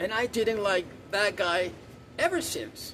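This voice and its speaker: A man speaks with a high-pitched voice. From South America. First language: Spanish. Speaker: vlogger. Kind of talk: opinion rant to camera. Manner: animated, repetitive; halting with stammered repeats.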